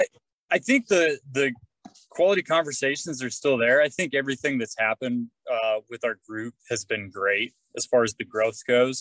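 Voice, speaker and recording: A man talks in a plain, everyday voice. His pitch is medium. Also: ordinary pitch variation, moderate pace. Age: 30s. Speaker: construction teacher, fitness group member. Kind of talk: casual interview.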